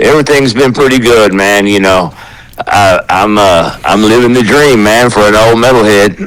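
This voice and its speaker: Over noticeable background noise, a man speaks at a moderate pace in a fairly low voice, with ordinary pitch variation and very even loudness. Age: 60s. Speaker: metal musician and hall of fame founder. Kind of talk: casual chat. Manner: halting.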